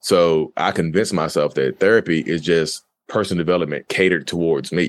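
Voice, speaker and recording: A man's pitch here is very deep and low. He does the speaking in this clip. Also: quiet background. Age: 30s. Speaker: guest sharing experience of narcissistic personality disorder. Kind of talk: casual interview.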